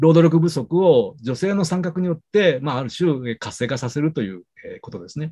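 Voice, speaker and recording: Dark, mellow male tone with very wide pitch swings over a quiet background. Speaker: sociology professor. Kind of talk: lecture. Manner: fast; halting, many fillers. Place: home room. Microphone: webcam.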